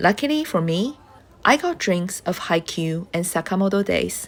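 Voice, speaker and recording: A woman with a non-native accent, fairly low in pitch with vocal fry, at a moderate pace with lively intonation. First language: not English. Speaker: travel vlogger. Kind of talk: scripted voiceover narration.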